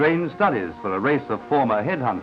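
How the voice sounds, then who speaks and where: A man talks at a fairly quick pace with very wide pitch swings. Music plays in the background. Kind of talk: newsreel narration.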